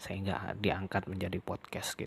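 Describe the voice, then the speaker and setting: At a medium tempo, the speaker's voice comes out somewhat breathy. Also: man. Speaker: podcaster. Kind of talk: podcast monologue. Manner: casual.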